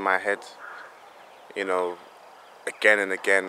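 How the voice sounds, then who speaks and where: A man speaks at a moderate pace in a fairly low pitch. Noticeable background noise can be heard. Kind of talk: opinion monologue to camera. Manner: casual, hesitant, frustrated.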